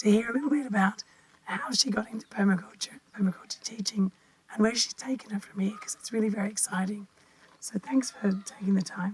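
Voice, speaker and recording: Noticeable background noise can be heard. The voice moves at a fairly quick pace, its pitch varying in an ordinary way. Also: woman, fairly high pitch for a woman. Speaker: podcast host. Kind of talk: interview. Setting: at guest's home.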